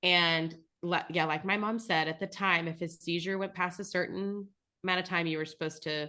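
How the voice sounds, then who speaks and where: With an American accent, a woman speaks at a moderate pace in a fairly low pitch and a bright, sharp tone over a quiet background. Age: 30s. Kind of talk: casual chat. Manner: animated.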